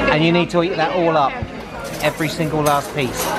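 Fairly quick speech over crowd noise in the background. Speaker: family travel vlogger. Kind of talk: casual vlog chat. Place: cafe. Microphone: phone near.

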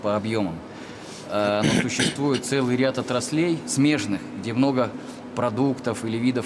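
Over noticeable background noise, a man at a medium pitch talks at a fairly slow pace with fairly even intonation. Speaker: chief design engineer. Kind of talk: formal question at meeting.

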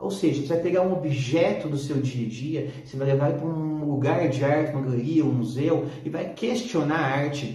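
The speech runs with hardly any pauses, and audible room echo can be heard. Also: man, ordinary pitch variation, moderate pace. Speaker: teacher. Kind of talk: lecture. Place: home room.

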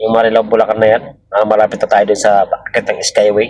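A man talks at a medium pitch and keeps a moderate pace. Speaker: vlogger and driver. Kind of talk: driving vlog narration. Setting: in a vehicle. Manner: halting, many fillers.

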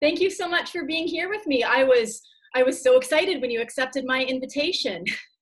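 A high-pitched woman with lively intonation and a fairly quick pace, over a quiet background. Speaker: poet. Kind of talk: casual video-call interview. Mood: warm, enthusiastic. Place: home room. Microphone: video call.

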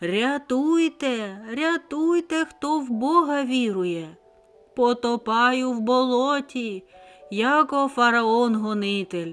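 A woman shouts in a put-on character voice at a high pitch, with lively intonation and a very slow pace. Faint music plays in the background. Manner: screaming, shouting.

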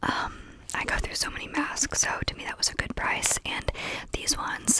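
A soft-spoken woman whispers over loud background noise, the sound dry with no echo. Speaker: ASMR creator. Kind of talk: soft-spoken ASMR show-and-tell. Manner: soft close-mic ASMR whisper. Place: home room. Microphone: studio mic.

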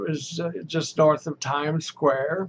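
A man talks very slowly in a fairly high voice. Light background noise runs underneath. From Texas. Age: old. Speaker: storyteller recalling his past. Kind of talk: oral history storytelling to camera. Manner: casual, rambling, hesitant. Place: home room.

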